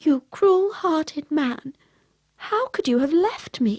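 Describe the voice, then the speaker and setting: Using a put-on character voice, a woman speaks shrilly at an extremely high pitch with very wide pitch swings and a fairly slow pace. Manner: angry.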